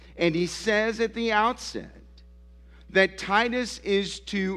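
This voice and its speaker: A man talks very slowly over a quiet background. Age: 50s. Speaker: pastor. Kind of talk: sermon. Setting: church.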